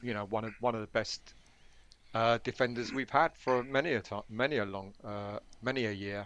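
Fairly low-pitched man with a plain, everyday voice, fairly even intonation and a moderate pace. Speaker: podcast guest. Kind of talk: casual chat.

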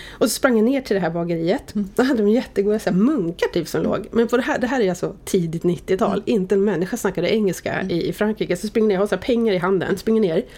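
A woman's medium-pitched voice at a very fast pace with hardly any pauses and ordinary pitch variation, amid noticeable background noise. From Sweden, Oxelösund (Södermanland). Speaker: media executive. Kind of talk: casual interview. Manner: animated.

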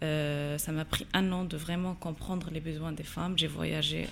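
A woman of fairly low pitch, with fairly even intonation and a fairly slow pace. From Morocco, Agadir. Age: 20s. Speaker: social entrepreneur. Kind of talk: interview. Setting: studio. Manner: halting, many hesitations.

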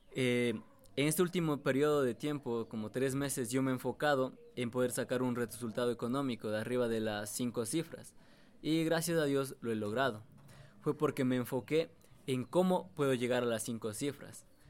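A man talks in an ordinary speaking voice at a medium pitch. His pace is moderate, with ordinary pitch variation. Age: 20s. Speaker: young trader and online entrepreneur. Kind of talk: casual interview.

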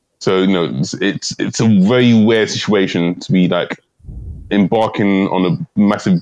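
With a London accent, this man speaks at a moderate pace in a very deep, low pitch. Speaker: comedian, podcast co-host. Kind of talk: casual chat. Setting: remote recording.

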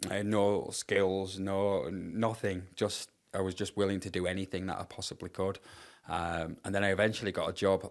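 On a very clean recording with a silent background, a man speaks at a moderate pace in a fairly low, monotone, flat voice. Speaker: charity founder sharing life story. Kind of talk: personal testimony in interview. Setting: podcast interview in person. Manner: halting, repeats words.

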